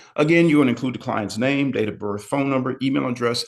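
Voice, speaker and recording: A man's medium-pitched voice carries vocal fry and ordinary pitch variation. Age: 60s. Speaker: medical exercise educator, physical therapist. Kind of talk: webinar lecture. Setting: live online session. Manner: conversational, with frequent fillers.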